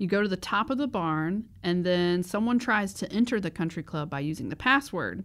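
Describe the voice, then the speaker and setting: Recorded very cleanly against a silent background, a woman with an American accent and an ordinary speaking voice talks at medium pitch and moderate pace, with lively intonation and hardly any pauses. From US South. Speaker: podcast co-host. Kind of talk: casual chat.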